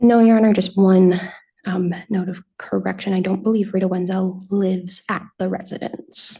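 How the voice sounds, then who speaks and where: Mumbling in a dark, mellow tone, a woman sounds somewhat breathy. Her intonation is monotone and flat. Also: medium pitch for a woman, moderate pace. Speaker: defense attorney. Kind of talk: witness cross-examination. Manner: mumbles a little.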